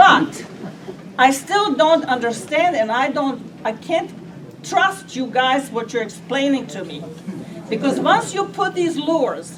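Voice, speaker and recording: The speech moves at a very slow pace with long, frequent pauses and very wide pitch swings. Noticeable background noise and audible room echo fill the recording. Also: woman. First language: not English. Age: 80s+. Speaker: resident speaking at public meeting. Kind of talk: public comment at meeting.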